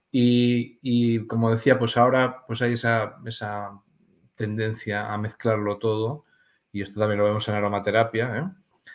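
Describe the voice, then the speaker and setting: This man talks at a fairly slow pace in a medium pitch, with monotone, flat intonation. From Spain. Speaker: aromatherapy author; interview guest. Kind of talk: interview. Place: home room.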